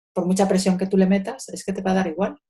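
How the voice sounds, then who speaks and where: Somewhat breathy, this voice carries a dark, mellow tone. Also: woman. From Spain, Madrid. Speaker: social educator. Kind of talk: interview. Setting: video call. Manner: halting.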